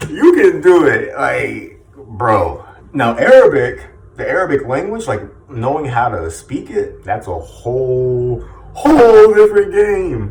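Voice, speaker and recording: A man speaking at a very slow pace, big swings in loudness, noticeable background noise. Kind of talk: casual talk to camera. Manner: informal, motivational.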